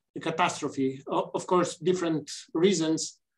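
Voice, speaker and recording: Over a quiet background, a man speaks fairly slowly in a high pitch with fairly even intonation. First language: Romanian. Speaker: gynaecologic oncologist and politician; panelist. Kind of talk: panel discussion. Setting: video call. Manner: halting. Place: office. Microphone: webcam.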